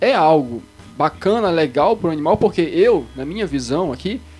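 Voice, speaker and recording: Music plays behind a man speaking at a fairly quick pace. His pitch swings very widely. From Belém, Pará, Brazil. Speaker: podcast co-host. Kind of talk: casual chat.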